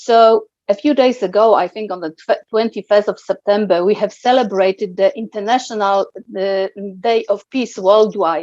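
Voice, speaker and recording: A woman's medium-pitched voice with a Polish accent, at a moderate pace with ordinary pitch variation, in a dry, close sound with no echo and a quiet background. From Poland. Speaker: guest interviewee. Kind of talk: interview. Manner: halting.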